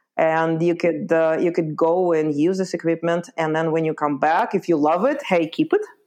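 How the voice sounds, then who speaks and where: With an Eastern European accent, a woman speaks at a moderate pace and fairly low pitch, her intonation fairly even, her loudness very even and her pauses hardly any. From Lithuania (born in Ukraine). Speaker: backpacking guide and trip planning business owner. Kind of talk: interview. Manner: hesitant, many fillers.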